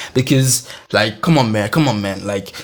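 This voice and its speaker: A man talks at a moderate pace. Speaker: podcast host. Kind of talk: personal storytelling. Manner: animated.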